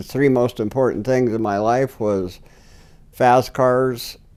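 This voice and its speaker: The voice has a dark, mellow tone. It carries a Pacific Northwest accent. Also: man. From Washington state, US. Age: 70s. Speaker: filmmaker's grandfather. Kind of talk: interview storytelling.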